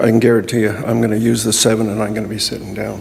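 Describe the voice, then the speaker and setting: A man talks at a very fast pace. The room echo is audible, and there is noticeable background noise. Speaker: public delegate. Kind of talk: public delegation speech.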